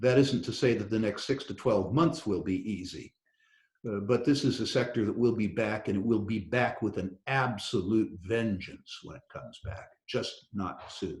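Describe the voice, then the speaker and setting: At a moderate pace, a man talks in a somewhat breathy, medium-pitched voice with ordinary pitch variation. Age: 60s. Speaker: investor in natural resources. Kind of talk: interview.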